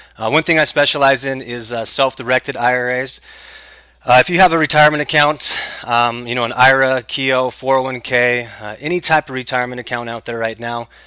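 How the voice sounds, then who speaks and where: A man with a medium pitch and fairly even intonation talks fairly fast, noticeable noise audible behind him. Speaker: tax sale investment trainer. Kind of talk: webinar tutorial. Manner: hesitant, many fillers.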